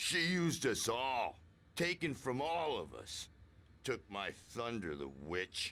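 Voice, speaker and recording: A man speaks in a put-on character voice. His pitch sits in the middle range, and his pace is fairly slow. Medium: video game. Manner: gruff, excitable.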